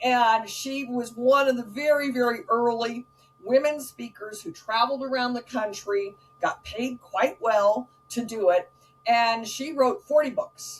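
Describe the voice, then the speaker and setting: Over noticeable background noise, a woman with a high pitch talks at a fairly slow pace, her loudness swinging widely. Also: ordinary pitch variation. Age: 60s. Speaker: author and speaker. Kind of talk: casual chat.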